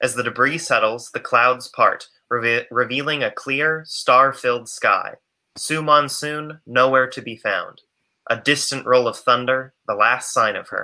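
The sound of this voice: A man at a medium pitch, bright, sharp tone, fairly even intonation, fairly slow pace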